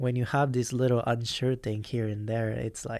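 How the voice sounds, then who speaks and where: A man speaks at a moderate pace and a medium pitch with fairly even intonation. The recording is very clean with a silent background. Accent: Japanese. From Japan. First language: Japanese. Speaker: professional motocross rider. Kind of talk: podcast interview answer.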